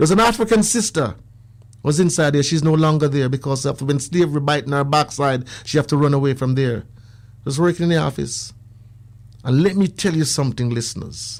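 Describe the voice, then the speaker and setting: Animated and at a fairly quick pace, a man speaks in a fairly high pitch with ordinary pitch variation on a very clean recording with a silent background. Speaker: radio show caller. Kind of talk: personal testimony on talk radio. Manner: fast.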